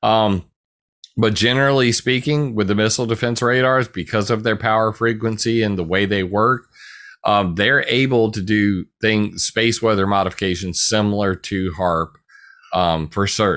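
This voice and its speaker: In a very clean recording with a silent background, a man with an American accent has an ordinary speaking voice, a fairly low pitch with ordinary pitch variation, very even loudness and a moderate pace. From US South, South Carolina. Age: 40s. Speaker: researcher and blogger. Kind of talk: casual interview.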